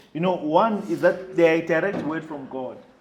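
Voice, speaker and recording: A man speaks in a high pitch with ordinary pitch variation. Noticeable background noise is present. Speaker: preacher. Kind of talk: sermon delivered to a congregation.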